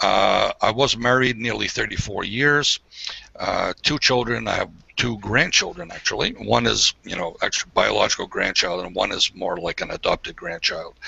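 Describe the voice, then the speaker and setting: A man with an American accent talks at a moderate pace, and there is noticeable background noise. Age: 60s. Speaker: online hangout guest telling life story. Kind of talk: casual personal storytelling. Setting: video call. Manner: hesitant, many fillers.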